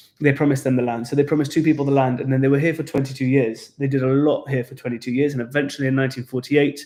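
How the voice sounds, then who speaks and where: Intonation is monotone and flat from this man with a British accent. His pitch is fairly high. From England. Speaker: tour guide. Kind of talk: casual chat.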